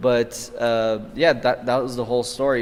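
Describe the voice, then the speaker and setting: A man with an American accent speaks at medium pitch and a moderate pace. He has a normal speaking voice. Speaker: podcast host. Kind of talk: casual interview.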